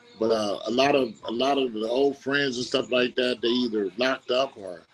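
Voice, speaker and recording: There is noticeable background noise as a man talks at a moderate pace and a medium pitch. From Compton, Los Angeles, California. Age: 60s. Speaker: interview guest. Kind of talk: casual interview, reminiscing. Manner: repetitive, halting.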